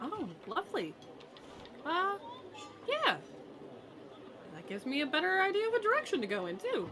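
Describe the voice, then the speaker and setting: In a put-on character voice, a female-sounding speaker uses an extremely high pitch and a warm tone, moving at a moderate pace with long, frequent pauses over clear background noise. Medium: actual play. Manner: warm, friendly.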